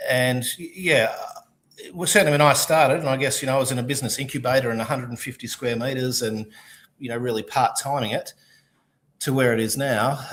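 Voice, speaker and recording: At a very fast pace, a man with an Australian accent speaks with fairly even intonation. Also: medium pitch for a man. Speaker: distillery founder. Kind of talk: casual chat.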